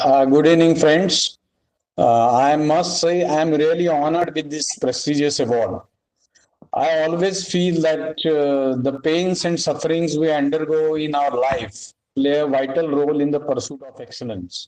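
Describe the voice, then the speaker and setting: Speaking at a moderate pace with a Marathi accent, this man has a fairly high pitch and fairly even intonation. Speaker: author, award recipient. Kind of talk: acceptance speech. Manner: hesitant, many fillers.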